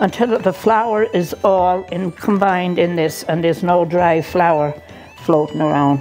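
Over faint background music, a woman with a fairly low pitch speaks with lively intonation. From Ireland. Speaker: grandmother home cook. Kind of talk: cooking demonstration. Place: kitchen. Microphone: lapel.

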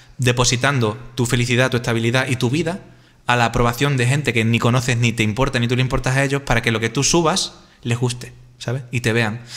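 Talking at a fairly quick pace in a monotone, flat intonation, a man is heard over a quiet background. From Spain (Extremadura); Spain. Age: 30s. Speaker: YouTuber and interviewer; YouTuber, interviewer. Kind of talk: casual interview conversation. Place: home room. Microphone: studio mic.

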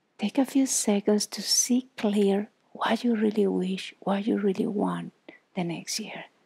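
Calm in tone, a woman at medium pitch speaks at a fairly slow pace with fairly even intonation. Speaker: yoga instructor. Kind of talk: guided yoga class. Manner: calm, encouraging. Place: home room.

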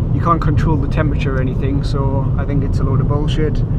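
Loud background noise accompanies a man speaking at a fairly quick pace, the sound dry with no echo. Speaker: driver vlogger. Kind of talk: casual vlog chat. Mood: sarcastic, swearing, joking. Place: car. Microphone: camera far.

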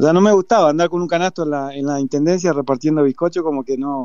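The man's pitch sits fairly high and varies in an ordinary way. His pace is fairly quick. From Uruguay, Florida. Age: 50s. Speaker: football coach. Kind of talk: interview. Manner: halting.

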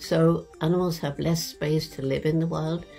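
Faint music plays behind a woman who speaks at a fairly slow pace with fairly even intonation. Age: 80s+. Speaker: anthropologist. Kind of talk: interview answer. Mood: calm, earnest. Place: home room. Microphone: webcam.

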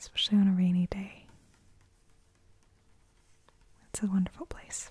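A soft-spoken voice moves at a moderate pace in a dry sound with no echo. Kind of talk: casual soft-spoken chat. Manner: soft-spoken, hushed ASMR voice. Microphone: phone near.

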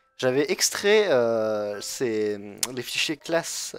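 A man's voice at medium pitch. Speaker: gaming youtuber. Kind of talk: gameplay tutorial commentary. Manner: hesitant, many fillers.

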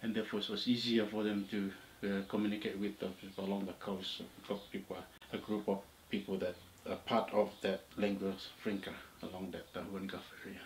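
A man's fairly low, monotone voice with flat intonation, a fairly quick pace broken by long, frequent pauses, and light background noise. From Papua New Guinea, Morobe Province. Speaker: oral history narrator. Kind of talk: interview answer, oral history. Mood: calm reflective recounting. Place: home room.

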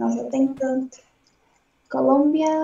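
A woman speaks with a Portuguese accent. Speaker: English student. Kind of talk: language lesson practice. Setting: video call. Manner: halting.

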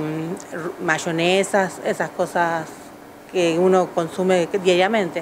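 Speech comes at a very slow pace over light background noise. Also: woman. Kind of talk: interview answer. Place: shop. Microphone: handheld.

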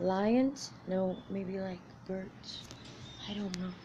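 A woman speaks over light background noise. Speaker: vlogger. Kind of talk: casual vlog chat. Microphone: phone near.

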